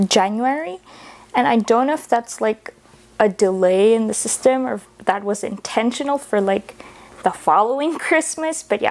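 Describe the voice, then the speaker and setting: Fairly high-pitched woman's speech with lively intonation at a moderate pace over noticeable background noise. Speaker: book reviewer. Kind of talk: casual vlog talk.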